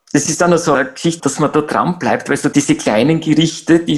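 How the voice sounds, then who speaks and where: The man's voice sits fairly high. He speaks at a very fast pace. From Austria, Graz. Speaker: climate activist. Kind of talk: interview. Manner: halting.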